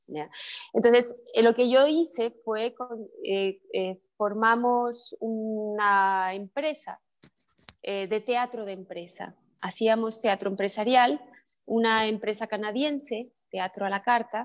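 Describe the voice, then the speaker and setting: At a very slow pace, a woman with a fairly high voice speaks with ordinary pitch variation and big swings in loudness. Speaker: actress and theatre maker. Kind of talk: interview. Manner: halting, many fillers.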